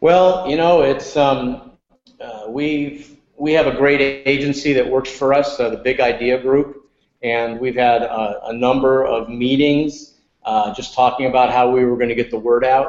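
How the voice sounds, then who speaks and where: In an unremarkable speaking voice with an American accent, a man talks at a fairly slow pace, with medium pitch and fairly even intonation. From upstate New York. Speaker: restaurant chain executive. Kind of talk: podcast interview.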